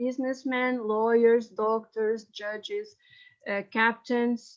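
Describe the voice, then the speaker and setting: A woman with a high voice and a Portuguese accent speaks at a very slow pace, her intonation fairly even, against a quiet background. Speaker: historian. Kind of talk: reading aloud. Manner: halting.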